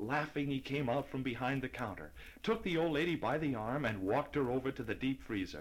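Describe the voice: Plain reading aloud is heard. Pitch variation is ordinary.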